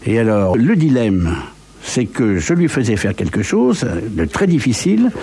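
Noticeable background noise behind a man of medium pitch, his moderate pace marked by very wide pitch swings. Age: 70s. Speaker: composer and conductor. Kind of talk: interview.

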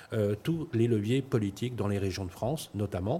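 A man with a somewhat breathy voice and ordinary pitch variation keeps a moderate pace. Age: 50s. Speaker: startup founder. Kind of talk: pitch interview. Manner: hesitant, repeats words.

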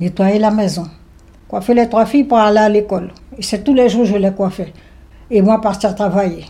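A somewhat breathy woman at a medium pitch, dark and mellow in tone, at a fairly quick pace with ordinary pitch variation. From French Guiana, Saint-Laurent-du-Maroni. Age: 70s. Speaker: retired emigrant interviewee. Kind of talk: personal testimony interview.

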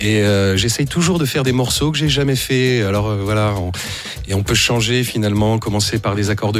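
A man speaks at a fairly low pitch, with noticeable background noise behind him. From France (Blois). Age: 40s. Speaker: independent musician. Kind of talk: radio interview. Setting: studio. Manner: hesitant, many fillers.

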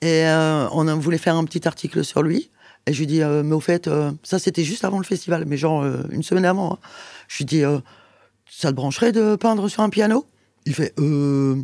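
A woman speaks at a moderate pace in a very deep, low voice with ordinary pitch variation. Her tone is dark and mellow, and the sound is dry and close with no echo. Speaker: musician and recording studio co-manager. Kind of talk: interview conversation. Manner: animated.

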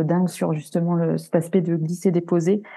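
A woman's fairly low, dark, mellow voice with monotone, flat intonation against a quiet background. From France. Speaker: graphic and web designer. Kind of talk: casual interview.

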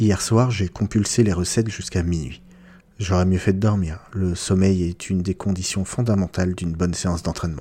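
A man's very deep, low voice, somewhat breathy, with fairly even intonation at a moderate pace on a very clean recording with a silent background. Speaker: book podcast host. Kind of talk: literary audiobook reading of a novel excerpt, in first person. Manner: measured, expressive narration.

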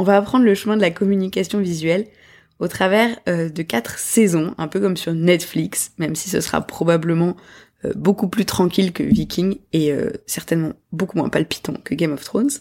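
Recorded very cleanly with a silent background, a woman speaks at a moderate pace in a fairly low pitch with ordinary pitch variation. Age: 30s. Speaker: podcast host, graphic designer. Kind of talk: solo podcast monologue. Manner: hesitant with fillers.

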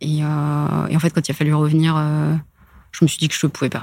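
Talking at a fairly quick pace, the woman has a very deep, low pitch. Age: 30s. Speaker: corporate lawyer. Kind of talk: casual interview.

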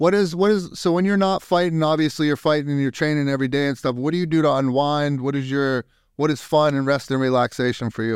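A man speaks at a very fast pace with hardly any pauses. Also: fairly high pitch for a man, ordinary pitch variation. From Youngstown, Ohio. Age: 40s. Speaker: podcast host, Air Force veteran. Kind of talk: casual interview. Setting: video call.

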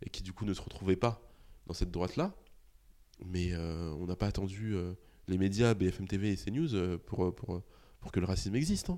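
This man has a very deep, low pitch and a dark, mellow tone. He talks at a moderate pace. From Paris suburbs (Argenteuil, Val-d'Oise), France. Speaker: journalist and podcaster. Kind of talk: interview. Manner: halting, many repetitions and fillers.

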